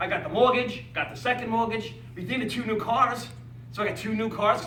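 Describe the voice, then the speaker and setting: Raising and projecting his high voice, a man speaks in an animated tone at a fairly quick pace, with audible room echo and noticeable background noise. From Staten Island, New York. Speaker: network marketing speaker, retired firefighter. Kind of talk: motivational speech to live audience. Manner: animated, fast, repetitive stammering.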